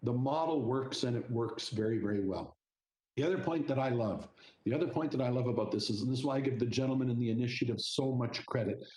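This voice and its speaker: A man's medium-pitched voice, dark and mellow in tone and somewhat breathy, at a very fast pace, with very even loudness and ordinary pitch variation. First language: Italian. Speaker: regional council chair. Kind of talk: committee meeting remarks. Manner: animated.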